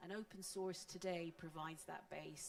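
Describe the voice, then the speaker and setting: A woman with a fairly low pitch speaks at a moderate pace. Noticeable background noise is present. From Scotland. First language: Scots. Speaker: panelist on open source. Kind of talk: panel discussion.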